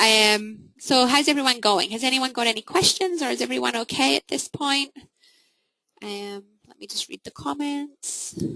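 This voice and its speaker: Bright and sharp in tone, a woman speaks at a fairly high pitch with lively intonation. Her loudness swings widely, and the sound is dry and close with no echo. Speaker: marketing coach. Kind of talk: webinar presentation. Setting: online webinar. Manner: fast.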